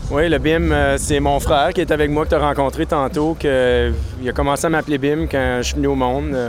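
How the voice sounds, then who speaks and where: The voice keeps a very even loudness at a fairly quick pace. Noticeable background noise is present. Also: man. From Quebec, Outaouais region (Maniwaki). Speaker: brewery owner and brewer. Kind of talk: casual interview. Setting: beer festival with DJ music.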